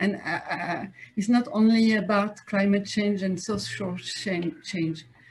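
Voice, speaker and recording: In a French accent, a woman speaks at a fairly slow pace. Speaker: politician, city advisor. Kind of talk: conference talk. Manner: halting, many fillers and repetitions.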